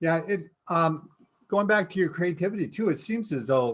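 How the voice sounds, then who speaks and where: This is a man talking. His pace is moderate. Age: 60s. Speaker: podcast guest host. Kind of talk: interview. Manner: halting.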